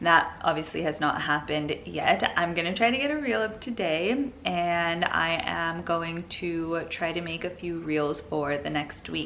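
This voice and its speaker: A woman with a fairly low voice speaks at a fairly slow pace. Noticeable background noise and audible room echo are present. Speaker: vlogger and small business owner. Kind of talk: vlog. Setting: at home. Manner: soft-spoken.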